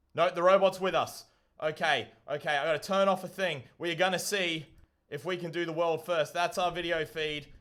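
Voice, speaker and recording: This man speaks loudly at a moderate pace. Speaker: livestreamer building a DIY solar rover. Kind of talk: live stream commentary. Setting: live stream. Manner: excited, exclamatory.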